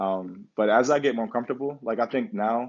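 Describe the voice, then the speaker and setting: A man is speaking. His pace is fairly quick. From US, Pittsburgh area. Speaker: professional basketball player. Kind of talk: casual interview. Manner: quiet, thoughtful; halting, many fillers.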